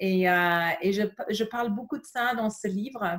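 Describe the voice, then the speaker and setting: In a very clean recording with a silent background, a woman speaks at medium pitch in a somewhat breathy voice. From England. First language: English (speaking French). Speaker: yoga teacher. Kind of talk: casual interview. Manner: halting, many fillers.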